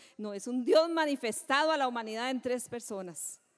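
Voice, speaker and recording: Here is a woman with an unremarkable speaking voice. Her pitch is fairly high and her intonation lively. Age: 60s. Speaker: pastor. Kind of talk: sermon.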